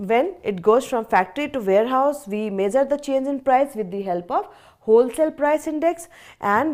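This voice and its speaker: In an Indian accent, a woman speaks with lively intonation and a high pitch. The recording is very clean, with a silent background. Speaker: teacher. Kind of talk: lecture. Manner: slow; repetitive, deliberate.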